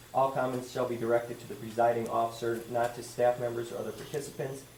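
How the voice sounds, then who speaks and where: Noticeable background noise and audible echo from the room surround a man's voice. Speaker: school board member. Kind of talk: public meeting procedures reading. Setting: public board meeting with audience. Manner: loud; halting, self-correcting.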